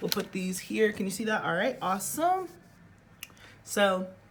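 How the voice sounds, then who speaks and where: The background carries noticeable noise. Through it, a woman talks at a medium pitch. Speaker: tarot reader. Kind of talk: tarot reading to camera. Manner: loud; projecting, theatrical.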